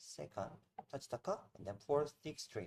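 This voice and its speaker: A man's very slow speech with lively intonation and a Korean accent. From South Korea. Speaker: barista and coffee trainer. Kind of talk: tutorial. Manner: halting.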